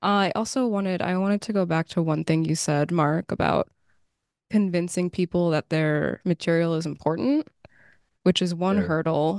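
In a plain, everyday voice with ordinary pitch variation, the speaker goes at a moderate pace in a dry, close sound with no echo and a quiet background. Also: woman, fairly low pitch for a woman. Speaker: podcast host. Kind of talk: interview.

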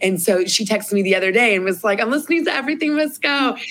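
With an American accent, a woman speaks with ordinary pitch variation. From US Midwest, Columbus, Ohio. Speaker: podcast co-host. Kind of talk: casual chat.

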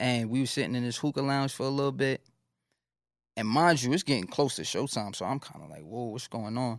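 On a very clean recording with a silent background, a man with a New York accent talks at a fairly quick pace and medium pitch, with ordinary pitch variation and big swings in loudness. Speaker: rapper. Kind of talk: casual interview. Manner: casual, slang-heavy.

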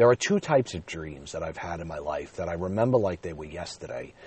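Speaking at a fairly quick pace, a man uses a very deep, low pitch with a somewhat breathy quality. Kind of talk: casual solo monologue. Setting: in a car.

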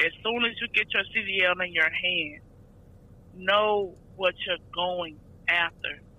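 Her delivery is very slow, with long, frequent pauses and fairly even intonation from this woman. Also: medium pitch for a woman. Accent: Southern US. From Georgia, US South. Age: 20s. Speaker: truck driver. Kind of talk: casual interview. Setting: phone call.

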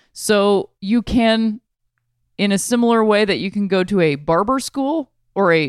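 A woman speaks in an unremarkable speaking voice at a medium pitch, with an American accent. The recording is very clean, with a silent background and a dry, close sound with no echo. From Ohio, Akron. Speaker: podcast host. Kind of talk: casual chat.

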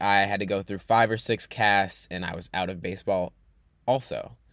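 Moderately paced, a man speaks in an unremarkable speaking voice, his fairly low pitch showing ordinary variation. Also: very clean recording, silent background. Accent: American. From New York. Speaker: podcast host and coach. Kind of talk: personal monologue.

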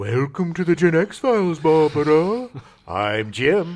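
A man speaks slowly-ish in a put-on character voice, his pitch fairly high. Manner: silly, spooky.

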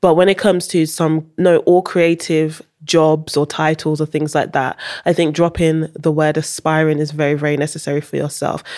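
Her pitch is very deep and low, and her intonation is monotone and flat. The woman speaks at a moderate pace. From Holland, raised; later UK. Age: 30s. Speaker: journalist and editor. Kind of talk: casual interview chat. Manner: laughs often, conversational.

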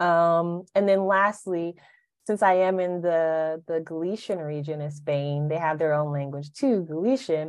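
In an American accent, a woman with an ordinary speaking voice talks at a fairly low pitch and a fairly slow pace, with ordinary pitch variation against a quiet background. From Alabama, US South. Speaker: poet. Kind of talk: casual chat.

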